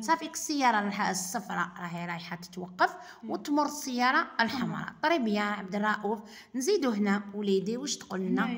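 A woman's pitch swings very widely as she talks at a moderate pace. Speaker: driving instructor. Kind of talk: tutorial. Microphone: phone near.

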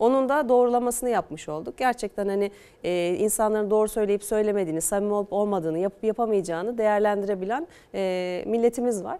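The woman talks at a very fast pace in a dark, mellow tone. Her pitch is medium, with ordinary variation. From Eskişehir, Turkey; Turkey. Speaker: politician, newly elected mayor. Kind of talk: TV news interview. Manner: calm. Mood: pleased, confident. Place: studio. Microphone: lapel.

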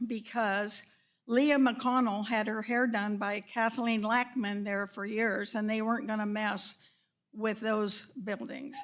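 A woman's fairly high-pitched voice with a Western US accent, monotone, flat intonation and a very slow pace, on a very clean recording with a silent background. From Northern California. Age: 80s+. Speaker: public commenter at city meeting. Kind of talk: public comment. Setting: council chamber meeting.

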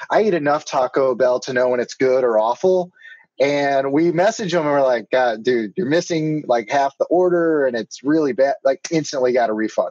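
The sound is dry with no echo. A man talks at a moderate pace with ordinary pitch variation. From Houston, Texas. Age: 30s. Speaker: panel member, friend of the host; podcast co-host. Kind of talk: casual chat. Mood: jovial, laughing. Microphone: video call.

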